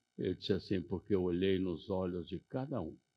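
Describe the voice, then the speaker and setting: This man's very deep, low voice moves at a fairly slow pace. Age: 80s+. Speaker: Rotary member, conference speaker. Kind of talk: conference speech.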